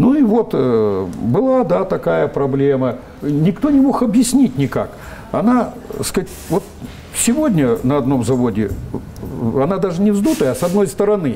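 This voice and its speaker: Over noticeable background noise, a man speaks at a moderate pace in a high voice, his pitch swinging very widely between long, frequent pauses. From Russian Far East, Vladivostok. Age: 70s. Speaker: scientist, biotechnologist. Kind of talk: interview. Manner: hesitant, many filler sounds.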